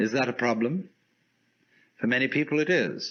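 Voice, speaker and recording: With a British accent, the voice varies in pitch in an ordinary way. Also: man. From United Kingdom. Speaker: philosopher. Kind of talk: lecture.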